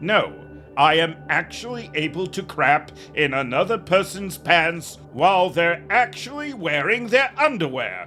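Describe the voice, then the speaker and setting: Over clear music in the background, a man performs a put-on character voice at a high pitch and a moderate pace. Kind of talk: comedy audio sketch. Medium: audio drama. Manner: hesitant, stammering.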